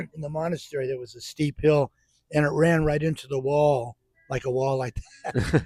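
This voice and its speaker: A man speaks at a moderate pace in a fairly high, somewhat breathy voice with a dark, mellow tone and fairly even intonation. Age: 80s+. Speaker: ex-priest. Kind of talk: casual chat. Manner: halting.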